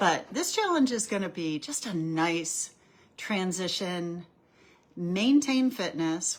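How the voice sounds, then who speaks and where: Talking at a moderate pace, a woman with a medium pitch and lively intonation has an unremarkable speaking voice. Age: 60s. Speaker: cycling coach. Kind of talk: weekly briefing video. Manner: casual, conversational with fillers.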